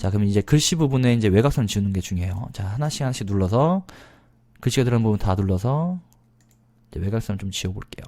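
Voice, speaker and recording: Speaking at a very fast pace, a man uses a dark, mellow tone with fairly low pitch and lively intonation. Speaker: PowerPoint instructor. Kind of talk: screen-recorded software tutorial. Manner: fast-paced, many filler words.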